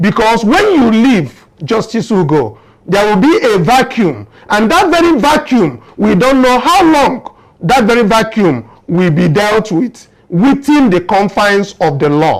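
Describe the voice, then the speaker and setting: With very even loudness but very wide pitch swings, a man speaks at a fairly slow pace in a high pitch. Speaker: political commentary show host. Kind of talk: political commentary in Pidgin.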